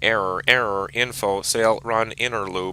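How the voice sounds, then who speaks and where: A man puts on a robotic character voice at a moderate pace, with clear background noise behind him. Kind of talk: technical readout.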